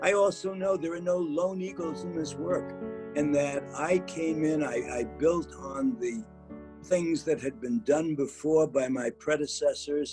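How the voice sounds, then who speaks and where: Fairly high-pitched male voice with lively intonation at a fairly slow pace, music in the background. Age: 80s+. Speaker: civil rights leader. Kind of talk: interview answer.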